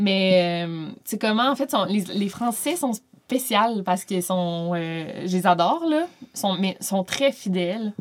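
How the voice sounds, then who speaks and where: A woman with a medium-pitched voice speaks at a very slow pace. Her intonation is lively. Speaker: YouTuber and author. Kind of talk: casual chat.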